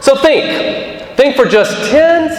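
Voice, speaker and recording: A man speaks loudly amid noticeable background noise and audible room echo. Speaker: commencement speaker. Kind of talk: speech. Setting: auditorium with audience.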